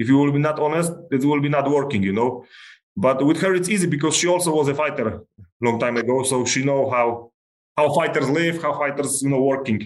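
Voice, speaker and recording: This man has an unremarkable speaking voice with a fairly high pitch. He talks at a fairly quick pace with ordinary pitch variation. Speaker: MMA fighter. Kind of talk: casual interview.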